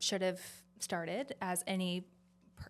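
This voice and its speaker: A woman speaks in a Southern accent on a very clean recording with a silent background. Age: 20s. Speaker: pageant winner and business owner. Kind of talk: podcast interview.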